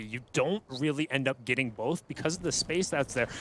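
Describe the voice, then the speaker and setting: A man speaks at a fairly quick pace and fairly high pitch. His tone is bright and sharp, with ordinary pitch variation. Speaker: esports caster. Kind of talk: live commentary. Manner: fast.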